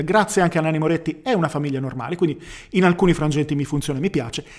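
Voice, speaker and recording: A man with a fairly high pitch talks at a very fast pace with ordinary pitch variation against a quiet background. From Bologna, northern Italy; northern Italy. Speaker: youtuber film reviewer. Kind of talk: casual film review monologue. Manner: hesitant, with fillers and repetitions. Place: home room. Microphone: studio mic.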